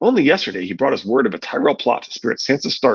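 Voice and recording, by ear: A natural voice reading aloud.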